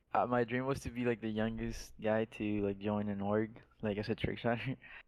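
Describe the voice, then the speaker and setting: With a Spanish accent, a man of fairly low pitch speaks at a moderate pace in a flat, monotone way. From Mexico. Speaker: esports pro gamer. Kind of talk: podcast interview.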